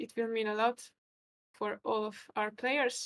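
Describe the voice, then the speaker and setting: Speaking with a Hungarian accent, a woman talks at a fairly slow pace and a fairly high pitch. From Hungary. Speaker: chess commentator and player. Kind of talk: live stream chess commentary. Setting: live stream.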